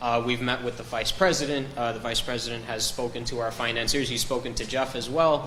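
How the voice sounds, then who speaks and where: A man with an American accent talks at a fairly quick pace in a medium pitch. Audible room echo and noticeable background noise surround him. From US, Miami. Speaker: business development executive. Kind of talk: interview. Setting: live stream.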